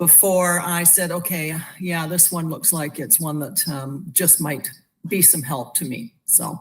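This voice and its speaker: A woman with a somewhat breathy voice speaks at a fairly slow pace in a fairly low pitch, with ordinary pitch variation. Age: 60s. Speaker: wellness product user sharing testimonial. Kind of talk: testimony. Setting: live video stream.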